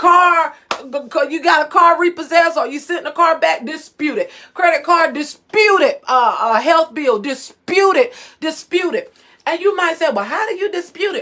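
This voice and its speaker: A woman projects a raised voice at an extremely high pitch, with very wide pitch swings and a moderate pace. Her tone is bright, sharp and animated. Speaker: financial coach. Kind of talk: live stream talk. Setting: live video stream. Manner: loud.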